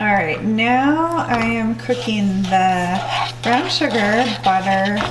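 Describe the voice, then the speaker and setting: The voice moves at a very slow pace. Noticeable background noise runs underneath. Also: woman. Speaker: lifestyle vlogger. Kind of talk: casual vlog talk to camera. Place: kitchen. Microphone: camera far.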